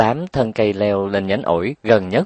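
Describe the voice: Reading aloud, plain.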